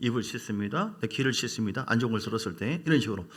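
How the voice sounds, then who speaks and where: Talking at a very fast pace, a man speaks at a medium pitch. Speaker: pastor. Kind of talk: sermon.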